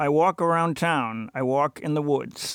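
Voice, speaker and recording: The recording has a dry, close sound with no echo. A man speaks fairly slowly at a fairly high pitch with ordinary pitch variation. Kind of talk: reading rhyming poems aloud. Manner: singsong rhythmic, playful.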